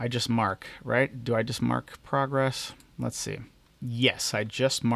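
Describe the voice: The intonation remains fairly even. It is plain reading aloud.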